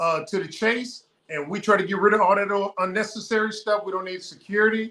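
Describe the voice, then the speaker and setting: This man speaks in a raised, projected voice with a high pitch, an American accent, fairly even intonation and a fairly quick pace. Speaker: ex-military retiree, repatriated homesteader. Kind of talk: casual chat. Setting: livestream video call.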